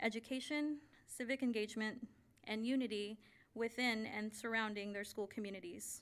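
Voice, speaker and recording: Speaking at a fairly quick pace, a woman has a fairly high pitch, fairly even intonation and an unremarkable speaking voice. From Navajo Nation, Arizona. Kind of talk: formal address at board meeting. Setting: school board meeting. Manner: formal.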